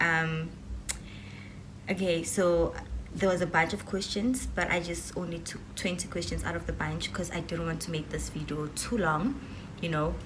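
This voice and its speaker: Amid noticeable background noise and audible room echo, a woman speaks at a moderate pace with a fairly low pitch and fairly even intonation. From South Africa. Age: 20s. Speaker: YouTuber. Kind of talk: casual vlog Q&A.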